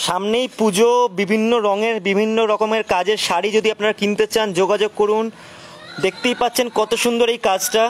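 The intonation is monotone and flat, and loudness stays very even. Light background noise is present. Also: man, high pitch for a man. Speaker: online craft showcase host. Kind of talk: live product showcase. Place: market. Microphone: phone near.

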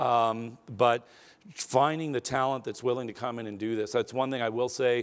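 The speech moves at a moderate pace in a monotone, flat intonation. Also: man. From Arizona, US. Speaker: aerospace company executive; keynote speaker. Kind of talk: keynote speech. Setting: stage with audience. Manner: casual with fillers. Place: hall.

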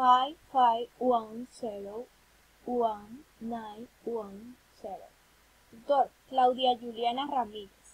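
A woman's high-pitched voice at a very slow pace, with fairly even intonation. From Colombia. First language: Spanish. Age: 20s. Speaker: university student. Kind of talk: reading aloud. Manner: halting. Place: home room. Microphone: webcam.

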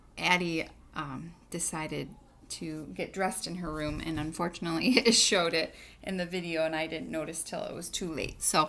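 A woman with a fairly low pitch speaks at a moderate pace in a bright, sharp tone, with fairly even intonation and vocal fry. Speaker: teacher addressing her students. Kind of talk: casual tutorial chat. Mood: warm, friendly. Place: kitchen. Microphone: webcam.

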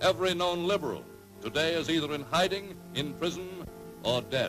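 A man at a fairly high pitch and moderate pace, dramatic in tone, over clear background music. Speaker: newsreel narrator. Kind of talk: newsreel narration. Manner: dramatic, authoritative. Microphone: old recording.

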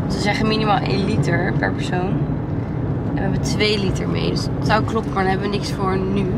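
A woman talks at a fairly quick pace. Loud background noise runs behind her. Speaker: vlogger. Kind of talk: casual vlog chat. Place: car. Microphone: phone near.

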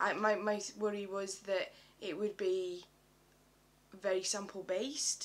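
The speaker has a British accent and monotone, flat intonation. Delivery is fairly slow, with long, frequent pauses. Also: woman, medium pitch for a woman. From UK. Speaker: beauty vlogger. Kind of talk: product review. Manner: halting. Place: home room. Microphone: webcam.

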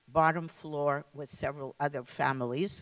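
Over a quiet background, a woman speaks at a fairly slow pace with ordinary pitch variation. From Lithuania. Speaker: Holocaust survivor and former teacher. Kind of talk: testimony. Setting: stage with audience. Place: hall. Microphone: handheld.

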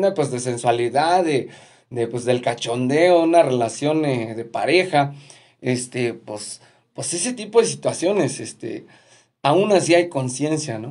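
Against a quiet background, a man with a Mexican accent speaks at a moderate pace, using a fairly high pitch and lively intonation. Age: 40s. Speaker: musician and video host; video host. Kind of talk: casual live stream monologue. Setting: at home. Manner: halting, many fillers and repetitions. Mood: cheerful, grateful. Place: home room. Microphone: phone near.

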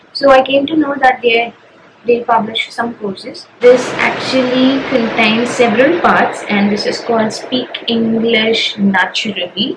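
A woman speaks at a fairly slow pace in a high pitch, with noticeable background noise. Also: ordinary pitch variation. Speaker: data analyst vlogger. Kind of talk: casual vlog chat. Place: home room. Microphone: camera far.

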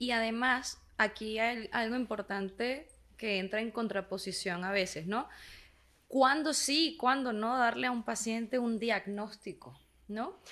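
Speaking at a fairly slow pace, a woman uses a fairly high pitch, ordinary pitch variation and a bright, sharp tone. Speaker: podcast co-host, psychotherapist; podcast co-host. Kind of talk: casual podcast conversation. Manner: energetic, animated. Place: studio. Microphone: studio mic.

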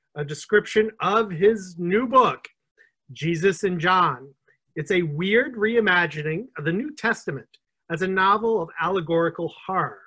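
Against a quiet background, a man speaks in a raised, projected voice with a bright, sharp tone, lively intonation and a moderate pace. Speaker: interview host. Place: home room. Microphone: video call.

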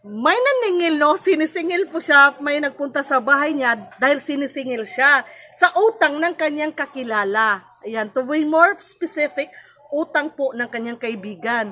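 A woman's raised, projected voice, high in pitch with lively intonation and a Visayan accent, over noticeable background noise. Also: moderate pace. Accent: Visayan accent in Tagalog. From Cebu, Philippines. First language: Cebuano (speaking Tagalog). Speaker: vlogger and life coach. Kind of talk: educational vlog. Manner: halting.

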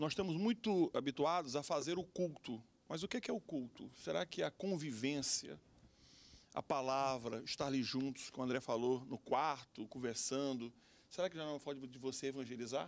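Speaking at a moderate pace, a man uses lively intonation in a fairly high voice. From Brazil, Acre. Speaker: pastor and lawyer. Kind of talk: TV panel discussion. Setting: TV studio. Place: studio. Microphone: handheld.

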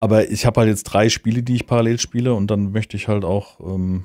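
A man speaks in a dark, mellow tone with fairly even intonation. The recording is very clean, with a silent background. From Hesse, near Hanau. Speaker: podcast co-host. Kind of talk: casual chat.

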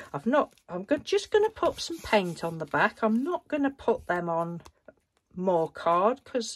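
The pitch swings very widely. A woman delivers it at a fairly slow pace. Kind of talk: casual vlog chat. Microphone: phone near.

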